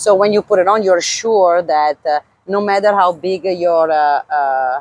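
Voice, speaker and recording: With an Italian accent, this voice moves at a fairly slow pace with ordinary pitch variation, the sound dry and close with no echo. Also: woman, fairly low pitch for a woman. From Italy. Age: 40s. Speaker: former pro cyclist and clothing brand owner. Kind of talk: casual interview. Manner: halting, many fillers.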